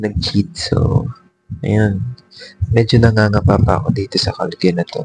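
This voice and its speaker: A man with a Filipino accent speaks at a moderate pace, his voice fairly low. The sound is dry and close, with no echo. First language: Tagalog. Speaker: vlogger. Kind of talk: casual vlog talk. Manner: soft-spoken.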